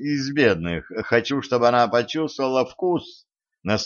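Against a quiet background, the speaker reads aloud plainly with ordinary pitch variation.

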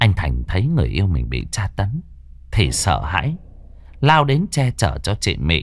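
The clip has a natural reading voice. That natural reading voice carries through.

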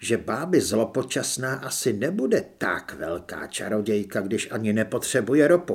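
An unforced reading voice is heard. Its intonation is lively.

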